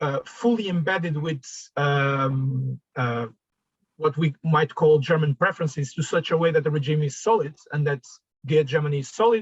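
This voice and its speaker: With a fairly high pitch, ordinary pitch variation and a somewhat breathy quality, a man speaks in a dry, close sound with no echo. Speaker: migration researcher. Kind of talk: academic discussion. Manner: fast; halting, many fillers.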